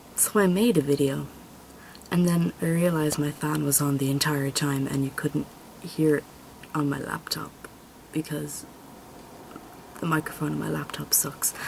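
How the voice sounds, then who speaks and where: With a Dublin accent, a woman speaks at a moderate pace in a very deep, low pitch with ordinary pitch variation and long, frequent pauses. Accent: Irish, Dublin area. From Ireland. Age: 20s. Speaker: vlogger, college student. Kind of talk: casual vlog introduction. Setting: home video recording on camera. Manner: rambling, fillers. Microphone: camera mic; laptop mic is poor.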